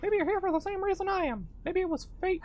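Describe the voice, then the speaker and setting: A squeaky, put-on character voice races along at a very fast pace and an extremely high pitch over clear background noise. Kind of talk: comic overacting. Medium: game stream. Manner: earnest, kindly.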